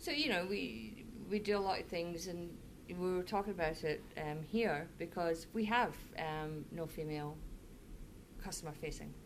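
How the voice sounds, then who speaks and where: Speaking with a Scottish accent at a moderate pace, a woman has a fairly low pitch and ordinary pitch variation. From Scotland (Fife). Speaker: managing director. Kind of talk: casual interview.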